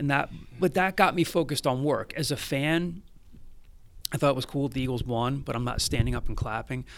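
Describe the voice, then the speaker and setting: This man has an unremarkable speaking voice with an American accent and a fairly high pitch. He talks at a fairly quick pace with ordinary pitch variation. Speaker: student media director and journalist. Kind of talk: interview.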